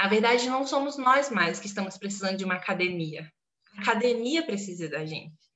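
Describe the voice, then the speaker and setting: Lively intonation marks this woman's medium-pitched voice as she speaks at a fairly quick pace. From Brazil, southeastern Pará. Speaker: literature teacher and academic. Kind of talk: podcast interview. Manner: animated.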